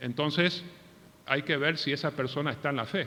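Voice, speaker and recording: A man talks at a moderate pace with a fairly high pitch. His tone is bright and sharp. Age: 60s. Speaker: pastor. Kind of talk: sermon.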